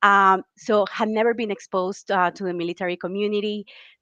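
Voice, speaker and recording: In a Colombian accent, the speaker talks at a fairly quick pace with a bright, sharp tone, the sound dry and close with no echo over a quiet background. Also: woman. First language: Spanish. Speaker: military spouse, career program manager. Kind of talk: webinar interview.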